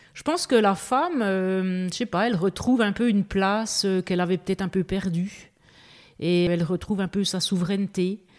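This is an ordinary speaking voice from a woman at medium pitch. Her intonation stays fairly even. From eastern France (Belfort). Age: 50s. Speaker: goji berry farmer. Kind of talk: casual interview. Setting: house under renovation.

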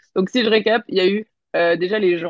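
A woman talks at a fairly quick pace and a medium pitch, with ordinary pitch variation. She has an ordinary speaking voice. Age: 30s. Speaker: business coach and entrepreneur. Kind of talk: interview.

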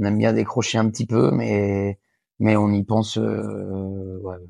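A dark, mellow tone with fairly even intonation comes through a dry, close sound with no echo and a quiet background. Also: man. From western France, Angers. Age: 30s. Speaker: harness racing jockey and trainer. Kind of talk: interview. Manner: halting, many fillers and repetitions.

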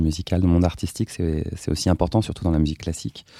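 A man's very deep, low voice has a dark, mellow tone in a dry, close sound with no echo. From France, Seine-et-Marne (rural farm). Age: 40s. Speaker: legal operations manager. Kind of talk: interview. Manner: hesitant, many repetitions.

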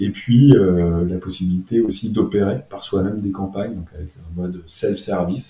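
A man speaks with a very deep, low pitch and a dark, mellow tone. His voice is somewhat breathy, with fairly even intonation. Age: 40s. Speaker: entrepreneur. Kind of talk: interview. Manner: halting, many fillers and repetitions.

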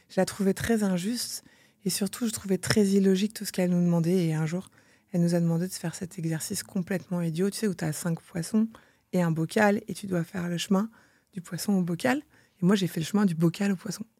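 Speaking at a fairly quick pace, a woman has a medium-pitched, somewhat breathy voice with a dark, mellow tone. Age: 40s. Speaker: entrepreneur and mother. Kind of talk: interview. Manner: animated.

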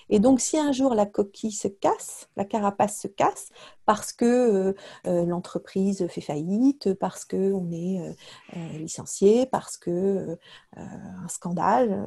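A woman talks at a very slow pace in a medium pitch, her tone dark and mellow and somewhat breathy. Her pitch varies in an ordinary way, and the background is quiet. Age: 40s. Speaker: leadership coach and entrepreneur. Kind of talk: interview conversation. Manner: hesitant, many fillers.

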